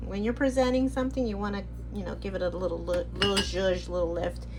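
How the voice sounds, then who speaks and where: With noticeable background noise and audible room echo around her, a woman speaks. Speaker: product review vlogger. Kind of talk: casual haul video. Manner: halting, many restarts.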